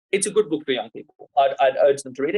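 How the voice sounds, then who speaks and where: The recording of a man with an Australian accent has a dry, close sound with no echo. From Australia, Sydney. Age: 30s. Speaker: lawyer and human rights activist. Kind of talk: podcast interview.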